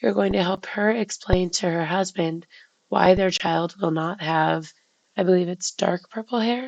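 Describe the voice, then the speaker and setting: Using vocal fry, a woman speaks at a medium pitch and a fairly slow pace with ordinary pitch variation. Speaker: teacher presenting a lesson plan. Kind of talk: tutorial. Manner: hesitant with frequent fillers.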